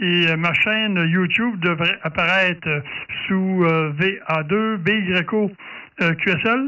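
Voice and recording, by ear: Speaking at a slow pace, a man delivers a bright, sharp tone at a high pitch. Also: ordinary pitch variation.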